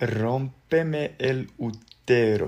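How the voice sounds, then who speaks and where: Ordinary pitch variation from a male speaker. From Serbia. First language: Serbian (speaking Spanish). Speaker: social media personality; social media creator. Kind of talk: reading and answering social media comments. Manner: halting. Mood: cheerful, amused. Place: home room. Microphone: phone near.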